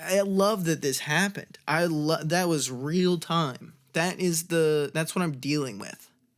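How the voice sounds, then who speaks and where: A man's high voice at a very slow pace, with ordinary pitch variation, on a very clean recording against a silent background. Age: 20s. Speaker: podcast host. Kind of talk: casual solo podcast talk. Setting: bedroom. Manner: halting, self-correcting.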